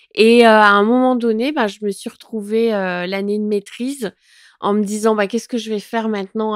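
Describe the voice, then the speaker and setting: A woman's fairly high voice at a fairly slow pace, dry and close with no echo. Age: 40s. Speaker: content creator. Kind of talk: interview. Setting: at her home. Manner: hesitant, many fillers.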